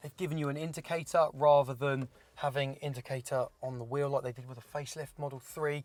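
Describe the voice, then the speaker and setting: A man with a British accent talks at a moderate pace in a very clean recording with a silent background. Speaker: car reviewer. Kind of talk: casual car review chat. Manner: loud.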